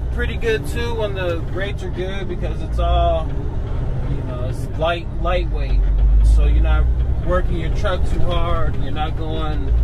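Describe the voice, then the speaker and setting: Loud background noise fills the recording. A man speaks at a fairly slow pace over it. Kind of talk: casual vlog chat. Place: car.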